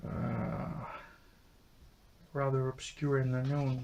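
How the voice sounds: At a slow pace, a man speaks at medium pitch with a dark, mellow tone, vocal fry, and little pitch movement.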